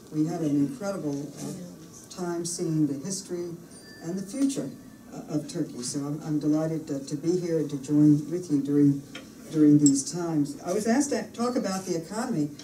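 Amid light background noise and audible room echo, a woman with a very deep, low pitch talks at a moderate pace. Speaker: politician giving a speech. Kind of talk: speech. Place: meeting room. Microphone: podium.

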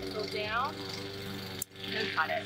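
A woman's voice against loud background noise. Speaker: flower farmer and video creator. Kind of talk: tutorial. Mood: relaxed, pleased. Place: farm.

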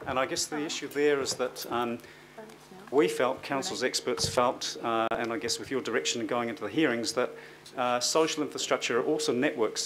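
Noticeable background noise sits under speech at a moderate pace with fairly even intonation. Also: man. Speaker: council presenter. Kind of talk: briefing to committee. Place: meeting room.

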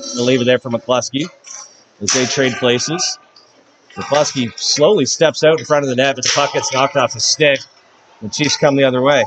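Over noticeable background noise, a man with a fairly high pitch sounds animated and upbeat, leaving long, frequent pauses. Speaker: hockey play-by-play announcer. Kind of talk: live hockey play-by-play commentary. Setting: arena, broadcasting a game to a stream. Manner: rapid-fire, animated, calling the action as it happens; upbeat, friendly broadcaster tone. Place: stadium.

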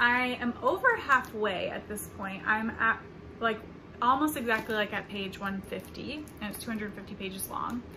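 Noticeable background noise sits behind a woman with an American accent and a fairly high pitch. She speaks at a very slow pace, with big swings in loudness. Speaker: book vlogger. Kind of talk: casual vlog.

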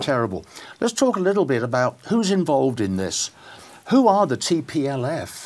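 A man with a southern English accent speaks at a fairly high pitch, his voice making very wide pitch swings. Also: moderate pace. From southern England. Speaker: political talk show host. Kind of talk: interview. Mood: serious, concerned. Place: studio. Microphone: lapel.

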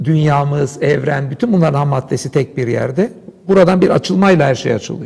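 With the background quiet, a man's speech moves fairly quickly and has ordinary pitch variation. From Istanbul, Turkey. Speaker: philosopher and Islamic scholar. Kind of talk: interview discussion, explanatory talk. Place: studio. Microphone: lapel.

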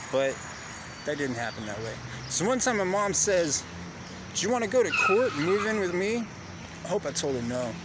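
Over noticeable background noise, a man talks at a fairly quick pace with a high pitch, very wide pitch swings and long, frequent pauses, in a dry sound with no echo. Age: 30s. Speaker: vlogger. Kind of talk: personal monologue. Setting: outdoors in city. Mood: reflective, personal storytelling. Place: open country. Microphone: phone near.

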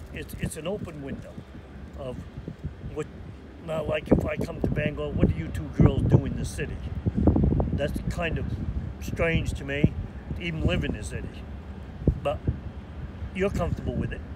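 A man speaks at a moderate pace with long, frequent pauses over loud background noise. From Maine. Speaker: lobsterman. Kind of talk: interview answer. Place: waterside.

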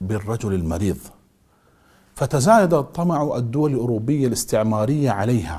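The speaker is a man. His tone is dark and mellow. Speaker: presenter. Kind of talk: documentary narration. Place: studio. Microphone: lapel.

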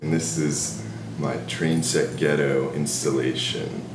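Fairly slow male speech amid noticeable background noise. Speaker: interviewee, model maker. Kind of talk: interview answer. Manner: hesitant, casual. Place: home room.

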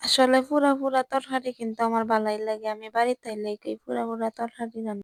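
A woman with a Bangladeshi accent speaks at a fairly high pitch in a monotone, flat intonation, with big swings in loudness. The sound is dry and close with no echo. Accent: regional Bangladeshi dialect. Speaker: cooking vlogger. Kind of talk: casual cooking vlog.

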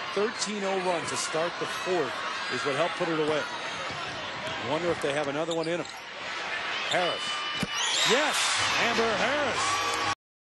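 The speech comes at a fairly slow pace with long, frequent pauses, in a dry sound with no echo and loud background noise. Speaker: play-by-play basketball announcer. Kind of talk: sports commentary. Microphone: headset.

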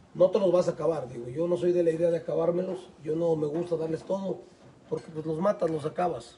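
A man's high-pitched voice at a fairly quick pace, with light background noise. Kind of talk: explanatory casual talk. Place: open country. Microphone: phone near.

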